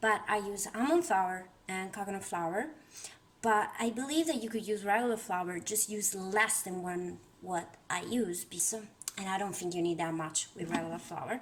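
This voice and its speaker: A woman with an Italian accent speaks at a moderate pace, with a medium pitch and ordinary pitch variation. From Italy. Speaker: home cook and tarot content creator. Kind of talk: cooking tutorial. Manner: casual, hesitant with fillers.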